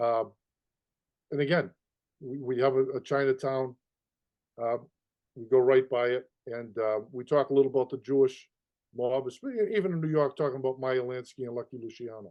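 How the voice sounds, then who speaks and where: A man with a Boston accent at a moderate pace, medium in pitch with ordinary pitch variation, big swings in loudness, and long, frequent pauses. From Boston, East Boston. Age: 60s. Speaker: mob tour guide. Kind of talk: interview conversation. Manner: halting, many repetitions.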